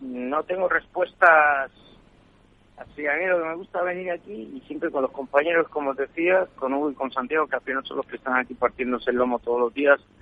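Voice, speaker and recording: This is a man speaking. His pitch is fairly high, with ordinary pitch variation. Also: fairly quick pace. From Spain, Extremadura. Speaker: foreign correspondent. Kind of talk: live remote report, conversational. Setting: remote call from hotel in Latin America. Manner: halting, with many restarts. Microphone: unstable signal, connection drops.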